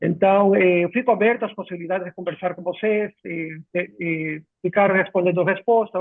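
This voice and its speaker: In a Spanish accent, a man speaks at a moderate pace with a high pitch and fairly even intonation. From Ecuador. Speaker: software company clinical director. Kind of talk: live webinar chat. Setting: video call. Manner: halting.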